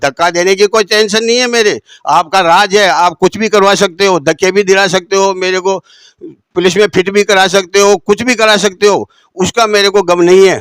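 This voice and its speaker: A man speaks at a high pitch and a moderate pace with fairly even intonation and very even loudness. The sound is dry and close with no echo. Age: 70s. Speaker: aggrieved shopkeeper and party worker. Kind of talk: interview testimony.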